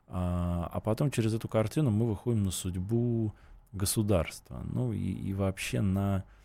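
A man's very deep, low voice, dark and mellow in tone, at a fairly slow pace with ordinary pitch variation, on a very clean recording with a silent background. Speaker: writer. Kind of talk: radio interview.

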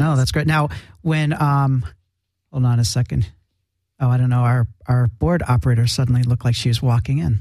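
A man at a medium pitch speaks somewhat breathily in a dark, mellow tone, at a moderate pace with long, frequent pauses, ordinary pitch variation and very even loudness. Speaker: radio host. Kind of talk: live radio interview. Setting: studio.

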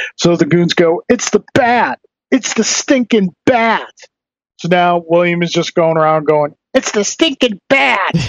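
High-pitched for a man, this voice moves at a fairly slow pace. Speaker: podcast host. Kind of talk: casual chat. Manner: casual, joking.

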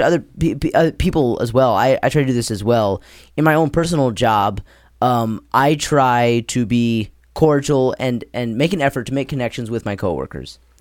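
A man talks in an ordinary speaking voice at a medium pitch and moderate pace. His intonation is lively, and the recording is very clean with a silent background. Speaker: podcast host. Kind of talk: casual chat.

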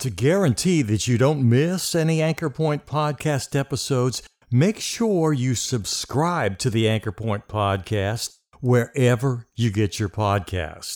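A man in an ordinary speaking voice, medium in pitch, lively in intonation and fairly slow, on a very clean recording with a silent background. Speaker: podcast host and meditation guide. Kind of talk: guided meditation. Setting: studio. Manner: slow, soothing, calm and gentle.

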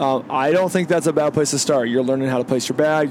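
A man with a fairly high pitch talks at a very fast pace with ordinary pitch variation. Noticeable background noise is present. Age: 40s. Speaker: podcast host, competitive rifle shooter. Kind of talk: casual chat. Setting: in a vehicle on the road.

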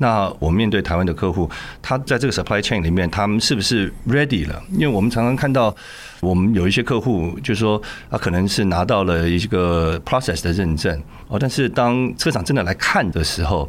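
With lively intonation and very even loudness, a man talks at a moderate pace in a fairly low pitch. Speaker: tech company co-founder. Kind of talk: interview.

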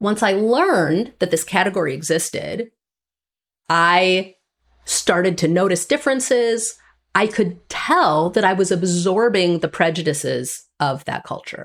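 On a very clean recording with a silent background, a woman with an American accent and an unremarkable speaking voice talks at a fairly slow pace, medium in pitch, her intonation lively. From Wisconsin (Green Bay). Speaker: author. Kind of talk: interview conversation.

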